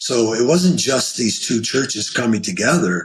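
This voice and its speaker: Somewhat breathy and medium in pitch, a man speaks at a moderate pace with very wide pitch swings. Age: 70s. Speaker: pastor. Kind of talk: podcast interview.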